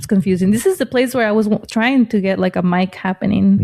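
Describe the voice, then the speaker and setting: Over noticeable background noise, a woman at medium pitch speaks at a very fast pace with ordinary pitch variation, the sound dry and close with no echo. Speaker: podcast co-host, comedian. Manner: casual, conversational.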